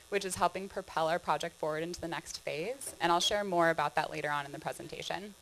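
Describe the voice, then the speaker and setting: The speaker has a California accent and a very fast pace. Ordinary pitch variation runs throughout, with hardly any pauses. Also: woman, fairly low pitch for a woman. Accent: obvious California. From California, San Diego. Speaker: trail director, presenter. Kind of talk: conference presentation. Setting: stage with audience.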